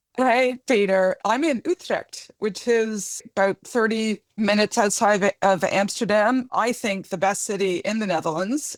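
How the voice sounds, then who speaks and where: A woman with a Canadian accent at a fairly slow pace, fairly high in pitch with ordinary variation, in a dry, close sound with no echo. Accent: Canadian, often mistaken for British. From Canada. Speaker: academic and podcast co-host. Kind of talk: casual interview chat.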